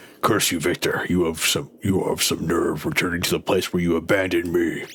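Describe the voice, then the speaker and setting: A man's put-on character voice, very deep and low, growling at a fairly quick pace. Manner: angry, resentful.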